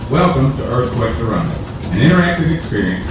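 A man at a fairly quick pace, with strong room echo and noticeable background noise. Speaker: ride announcer recording. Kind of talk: scripted safety announcement. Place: train.

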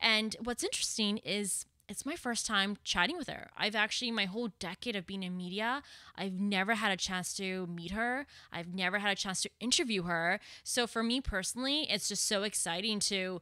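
A woman's bright, sharp tone comes at a moderate pace, dry with no echo and over a quiet background. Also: ordinary pitch variation. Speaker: podcast host. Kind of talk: podcast intro monologue. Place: home room. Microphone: studio mic.

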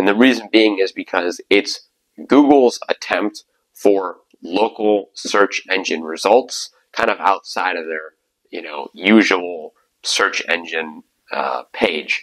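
A man speaks very slowly with a fairly low pitch and ordinary pitch variation. The background is quiet. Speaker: digital marketing agency CEO. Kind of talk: tutorial talk to camera. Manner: casual, many filler words. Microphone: lapel.

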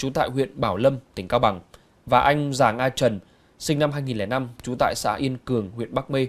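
Heard in a very clean recording with a silent background, a man speaks in a plain, everyday voice. His pitch is medium, with ordinary variation, and his pace is moderate. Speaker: news anchor. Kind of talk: news reading. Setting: studio. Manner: formal.

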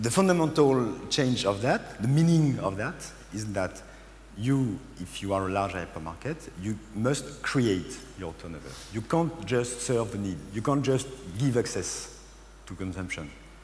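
A man with a French accent at a medium pitch, very wide pitch swings, a fairly slow pace, and light background noise. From France. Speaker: business consultant. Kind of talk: conference presentation. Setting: stage with audience. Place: stage. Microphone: headset.

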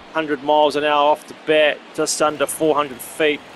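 Noticeable background noise behind a man with a fairly high pitch. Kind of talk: play-by-play game commentary over video game highlights. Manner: matter-of-fact, steady announcer cadence.

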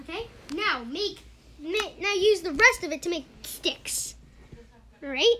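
The voice is raised and projected, with lively intonation, big swings in loudness, a fairly slow pace and long, frequent pauses. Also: woman, extremely high pitch for a woman. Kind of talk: casual gaming chat.

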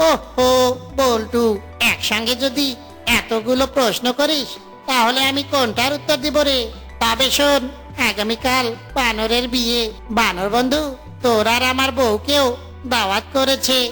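A cartoonish character voice that sounds female, fairly high in pitch, plays over clear music in the background. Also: moderate pace. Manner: jolly, joking.

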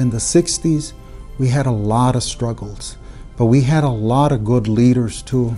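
Faint music plays behind a man with an American accent who speaks at a fairly slow pace. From Hayden, Arizona, USA. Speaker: politician, county supervisor. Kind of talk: interview answer. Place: office.

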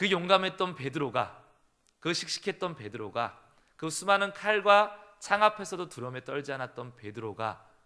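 A man talks at a moderate pace in a bright, sharp tone with vocal fry and very wide pitch swings. He has a slight southern Korean accent. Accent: trace of southern regional Korean speech. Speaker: pastor. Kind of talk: sermon.

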